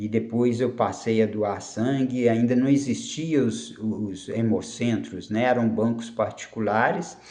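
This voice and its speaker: With audible room echo, a man speaks very slowly in a dark, mellow tone of medium pitch and fairly even intonation. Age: 60s. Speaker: karate instructor. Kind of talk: personal life story monologue. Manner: halting, with frequent fillers and repetitions.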